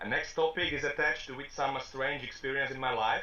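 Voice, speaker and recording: With a Slovak accent, a man talks at a moderate pace. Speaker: rapper and interviewer. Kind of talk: interview. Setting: video call. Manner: halting.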